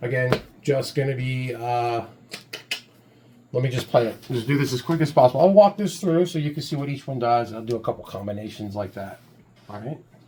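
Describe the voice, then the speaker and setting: A man with a medium pitch talks fairly quickly with lively intonation. Long, frequent pauses break up the speech, and background noise is noticeable. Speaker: music producer demonstrating a plugin. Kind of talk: tutorial. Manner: casual, hesitant with fillers; loud. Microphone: mic very close.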